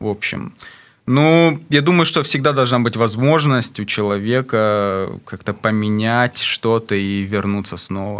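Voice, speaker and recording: A man at medium pitch talks very slowly, his pitch varying in an ordinary way. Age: 30s. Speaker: rapper; radio guest. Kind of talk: interview. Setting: studio. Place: studio. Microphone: studio mic.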